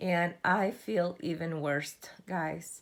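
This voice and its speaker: Very slowly, a woman speaks in a fairly low pitch with vocal fry. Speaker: craft vlogger. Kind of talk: casual tutorial vlog.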